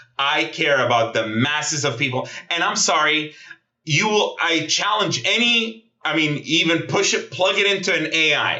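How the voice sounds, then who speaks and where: An animated, passionate tone with lively intonation, very even loudness and audible room echo. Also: man, fairly high pitch for a man, moderate pace. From Gaza, Palestinian. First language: Arabic. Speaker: Middle East analyst. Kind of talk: interview. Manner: halting, repetitive stammers.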